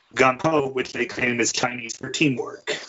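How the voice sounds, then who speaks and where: A man's normal speaking voice at medium pitch, moderate pace and fairly even intonation. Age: 30s. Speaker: military veteran, EMT. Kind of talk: casual chat. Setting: call.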